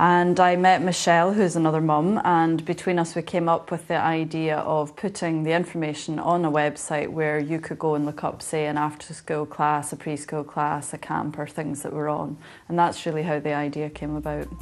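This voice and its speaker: In a Scottish accent, this voice moves at a moderate pace with hardly any pauses and monotone, flat intonation. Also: woman, very deep, low pitch for a woman. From Scotland. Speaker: website co-founder, parent. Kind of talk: TV interview.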